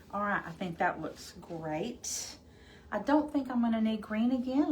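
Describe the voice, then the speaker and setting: A woman speaks at a moderate pace with a slight Arkansas accent and lively intonation. Noticeable background noise and audible room echo are present. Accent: slight Arkansas Southern. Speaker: crafting livestream host. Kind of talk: live crafting tutorial. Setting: livestream. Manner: casual, chatty.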